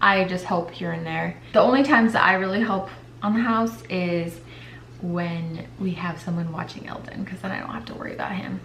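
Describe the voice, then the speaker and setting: A woman talks at a moderate pace in a fairly low pitch, with lively intonation and big swings in loudness. Noticeable background noise and audible room echo fill the recording. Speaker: stay-at-home mom vlogger. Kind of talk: casual vlog talk to camera. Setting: at home in kitchen. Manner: casual, filler-heavy; whispering at start.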